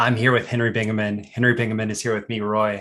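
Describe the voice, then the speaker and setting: Fairly even intonation marks a man's ordinary speaking voice, pitched in the medium range. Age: 30s. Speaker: copywriter and podcast host. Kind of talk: casual chat.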